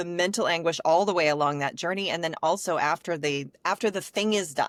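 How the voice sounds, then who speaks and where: A woman talks with an American accent in a plain, everyday voice, fairly low in pitch. Her pace is fairly quick and her pitch variation is ordinary. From US Midwest. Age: 40s. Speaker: podcast host, business owner. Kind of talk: podcast interview.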